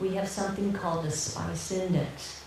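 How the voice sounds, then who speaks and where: A woman's fairly slow, monotone, flat delivery with audible room echo and noticeable background noise. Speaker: nurse teaching fertility awareness method. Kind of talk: Q&A after a talk. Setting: public talk with audience.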